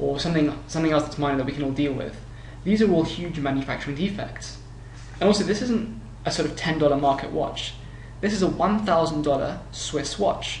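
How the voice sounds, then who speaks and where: In a British accent, a man with a fairly high pitch speaks at a fairly quick pace with ordinary pitch variation and audible room echo. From UK. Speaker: consumer reviewer. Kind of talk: product review narration. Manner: halting.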